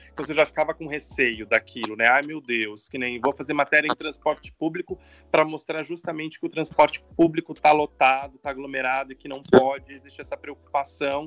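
Here a man has an ordinary speaking voice with a fairly high pitch and ordinary pitch variation, hardly pausing, and the sound is dry and close with no echo. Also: big swings in loudness. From São Paulo state, Brazil (São José do Rio Preto). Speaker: TV journalist and university professor. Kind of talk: interview.

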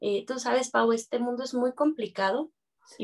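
A woman speaks high in pitch, her voice varying in an ordinary way. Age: 30s. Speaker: dance teacher. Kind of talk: interview.

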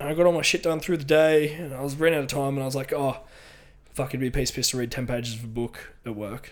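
Talking at a very fast pace, a man with an Australian accent uses a fairly high pitch and ordinary pitch variation. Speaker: podcast co-host, bodybuilder. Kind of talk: casual chat.

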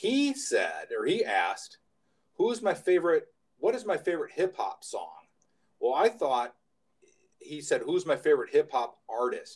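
This man speaks at a moderate pace with an American accent, pausing often and at length. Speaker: podcast co-host. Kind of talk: casual podcast chat.

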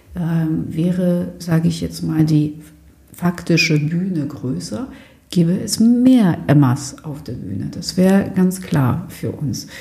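A woman speaks at a very slow pace with a very deep, low pitch and lively intonation. Audible room echo surrounds her voice. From Germany. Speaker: theatre director. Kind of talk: interview. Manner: halting, many fillers.

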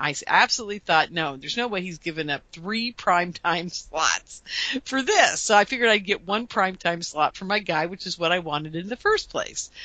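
Against noticeable background noise, a woman talks fairly quickly at medium pitch, animated in tone with ordinary pitch variation. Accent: American. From US West Coast, Portland, Oregon. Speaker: UFO researcher and radio host. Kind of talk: interview.

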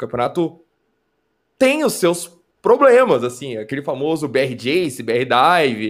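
The speaker uses lively intonation with long, frequent pauses. The recording is very clean, with a silent background. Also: man, fairly high pitch for a man, fairly slow pace. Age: 30s. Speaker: esports commentator. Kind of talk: casual chat.

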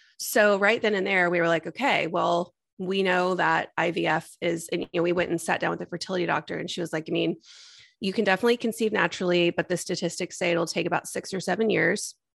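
Speaking at a very fast pace, a woman uses fairly even intonation and vocal fry. The background is quiet. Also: fairly low pitch for a woman. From Texas. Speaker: IVF patient and mother sharing her story. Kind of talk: interview testimony.

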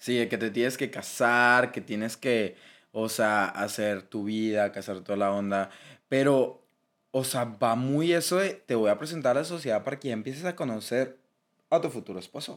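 A man with a strong Monterrey accent speaks with ordinary pitch variation on a very clean recording with a silent background. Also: medium pitch for a man, moderate pace. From Monterrey, Mexico. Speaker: podcast co-host. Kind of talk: casual chat. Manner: animated.

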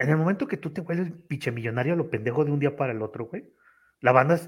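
A man's somewhat breathy, fairly high voice at a very fast pace with ordinary pitch variation. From Tamaulipas, Mexico. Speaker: office worker and content creator. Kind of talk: casual chat. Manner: casual, slangy, frequent fillers.

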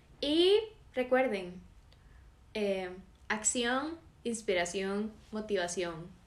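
Her pace is very slow, with long, frequent pauses and audible room echo. The woman's voice is fairly high, with lively intonation. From Costa Rica, San José. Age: 18. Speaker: podcast co-host. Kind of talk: casual chat.

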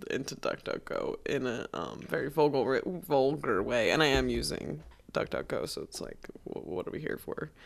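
The speech is mumbled. It moves at a moderate pace. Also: woman. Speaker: podcast host. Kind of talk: casual chat. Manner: mumbly.

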